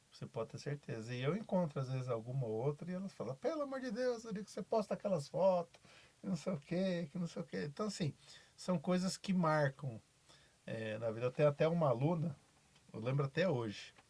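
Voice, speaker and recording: A man's fairly high voice at a fairly quick pace, full of very wide pitch swings. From Brazil, São Paulo interior. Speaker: basketball coach. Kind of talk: podcast interview.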